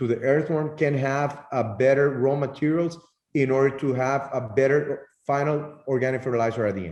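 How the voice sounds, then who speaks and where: The speaker has a Spanish accent. The pace is moderate. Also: man, fairly high pitch for a man. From Nicaragua, Estelí. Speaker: tobacco grower. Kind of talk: interview answers. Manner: halting.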